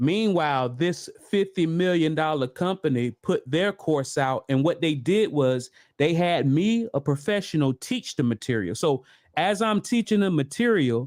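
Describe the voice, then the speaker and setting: Lively intonation marks a man's fairly high-pitched voice on a very clean recording with a silent background. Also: moderate pace. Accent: slight Southern US. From US South (Florida). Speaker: trainer and online business streamer. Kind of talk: live stream monologue. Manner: halting, many repetitions and fillers.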